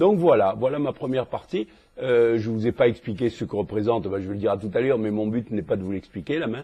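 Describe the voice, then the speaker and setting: A man's medium-pitched voice, ordinary pitch variation, very fast pace. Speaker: cardiologist teaching echocardiography. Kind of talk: lecture. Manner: hesitant, many fillers.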